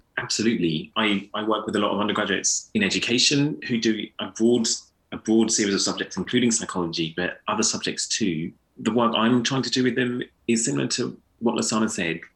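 With a London accent, a man talks at a fairly quick pace and ordinary pitch variation. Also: medium pitch for a man. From inner London. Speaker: philosophy and education lecturer. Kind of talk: panel discussion.

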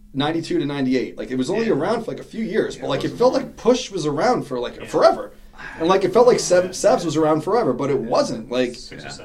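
Very fast speech in a New York accent, with very wide pitch swings and big swings in loudness, comes over noticeable background noise. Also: man, high pitch for a man. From New York City (Queens). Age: 40s. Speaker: BMX rider and business owner. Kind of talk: casual chat.

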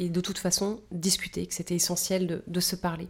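A dark, mellow tone delivers monotone, flat intonation at a fairly quick pace in a very clean recording with a silent background. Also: woman. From Paris region, France. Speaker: party spokesperson. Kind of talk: interview.

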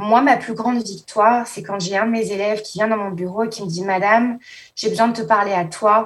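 In a normal speaking voice, a woman talks at a fairly quick pace and fairly high pitch, her intonation fairly even but her loudness swinging widely. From France, Paris. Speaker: assistant school principal. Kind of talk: interview.

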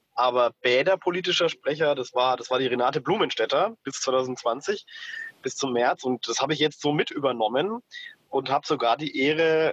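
The sound is dry and close, with no echo. It carries lively intonation in a plain, everyday voice. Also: man. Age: 30s. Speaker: city councillor. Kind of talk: interview.

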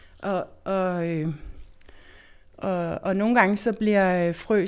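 A woman's medium-pitched voice holds a fairly even intonation. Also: very clean recording, silent background. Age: 40s. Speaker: architect and seed enthusiast. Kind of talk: interview. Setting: indoor backhouse. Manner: hesitant with fillers.

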